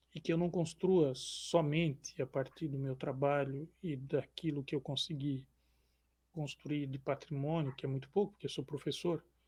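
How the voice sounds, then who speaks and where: Soft-spoken and somewhat breathy, this man has a dark, mellow tone and a calm manner, talking at a moderate pace with fairly high pitch and fairly even intonation. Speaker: social scientist and columnist. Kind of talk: interview.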